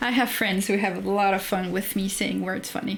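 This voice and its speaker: A woman with a French accent speaks at a moderate pace and a medium pitch. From France. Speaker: streamer reading and commenting on a writing course. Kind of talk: livestream commentary, reading aloud course text. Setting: livestream.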